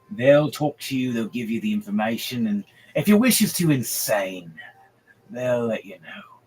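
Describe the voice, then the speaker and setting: Putting on a character voice, a man swings his pitch very widely while music plays in the background. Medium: actual play. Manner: gruff, rambling.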